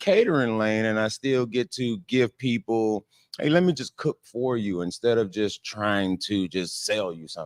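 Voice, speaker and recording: Using a New Orleans accent, a man at medium pitch talks at a moderate pace with lively intonation. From New Orleans, Louisiana. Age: 30s. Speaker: caterer and restaurant owner. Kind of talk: interview. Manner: halting.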